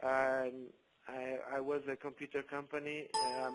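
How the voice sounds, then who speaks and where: A man with a non-native accent speaks at a moderate pace in a monotone, flat intonation. Music plays in the background. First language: not English. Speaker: network marketing leader. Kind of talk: testimony. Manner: halting.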